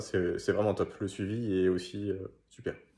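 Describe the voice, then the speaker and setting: At a fairly low pitch and a moderate pace, a man speaks in a dark, mellow tone. The background is quiet. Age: 20s. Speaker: gym member and judo instructor; judo instructor. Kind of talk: testimonial. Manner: hesitant with frequent fillers. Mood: calm, positive. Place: home room. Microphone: phone near.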